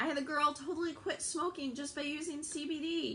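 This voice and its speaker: Projecting her raised voice, a woman speaks at a moderate pace with a bright, sharp tone. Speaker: network marketing seller. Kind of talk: livestream sales pitch. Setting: live video stream. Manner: animated.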